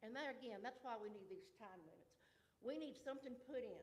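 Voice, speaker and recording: A woman with a Southern US accent speaks at a high pitch. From US South, Georgia (Newton County). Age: 70s. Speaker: resident speaking at public comment. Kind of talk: public comment at a county meeting. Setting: county commission meeting.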